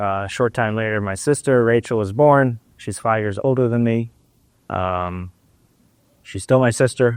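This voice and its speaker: With an Israeli accent, a man speaks with ordinary pitch variation. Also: very clean recording, silent background. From Israel (Haifa). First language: Hebrew. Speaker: urologist. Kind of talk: personal life story interview. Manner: hesitant, many fillers.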